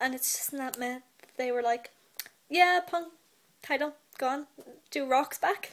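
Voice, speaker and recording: With a British accent, a woman speaks at a fairly slow pace and a high pitch, leaving long, frequent pauses, her pitch varying in an ordinary way. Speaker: wrestling vlogger. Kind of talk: casual vlog commentary. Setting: in bed at home. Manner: animated.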